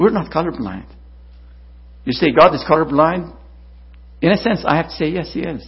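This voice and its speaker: The speaker uses vocal fry and lively intonation at a moderate pace, leaving long, frequent pauses. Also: man, fairly high pitch for a man. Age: 60s. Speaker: visiting preacher. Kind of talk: sermon.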